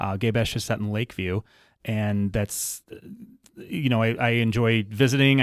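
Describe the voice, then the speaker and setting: A man's voice at a medium pitch. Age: 40s. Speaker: novelist. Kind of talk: casual chat. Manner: halting.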